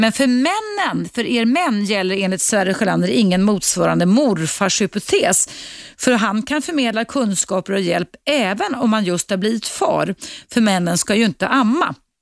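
A woman with an unremarkable speaking voice talks at a moderate pace, her fairly high pitch carrying lively intonation. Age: 50s. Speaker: radio host. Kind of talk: call-in talk show. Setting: studio.

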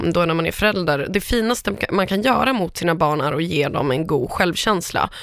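A woman speaks in a plain, everyday voice at a moderate pace and medium pitch. Her intonation is lively, and the recording is very clean with a silent background. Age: 30s. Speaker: entertainment editor and podcaster. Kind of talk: casual chat.

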